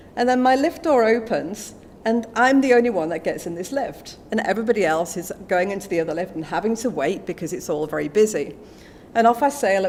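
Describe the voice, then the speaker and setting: A medium-pitched woman with an English accent, lively intonation and a fairly quick pace. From England. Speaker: business executive. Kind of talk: speech at a book launch. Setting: stage with audience. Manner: animated.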